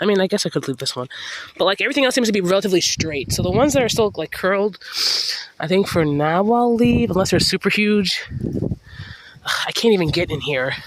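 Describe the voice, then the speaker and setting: A man races along at a very fast pace with a high pitch and lively intonation. Noticeable background noise is present. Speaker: home gardener. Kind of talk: casual talk to camera. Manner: rambling, informal.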